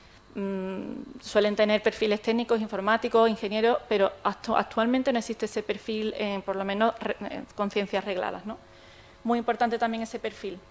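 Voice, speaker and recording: At a fairly quick pace, a woman speaks at a fairly high pitch with fairly even intonation. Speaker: technology expert, conference speaker. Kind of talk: conference talk. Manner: fast; hesitant, many fillers.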